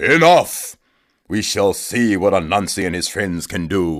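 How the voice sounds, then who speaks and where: A man bellows and growls in a put-on character voice at a fairly low pitch. He goes at a fairly slow pace in a very clean recording with a silent background. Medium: read story. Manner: roaring.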